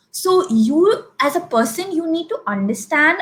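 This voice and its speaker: A woman's voice with very wide pitch swings. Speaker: personal branding consultant. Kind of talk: interview. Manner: unscripted, conversational.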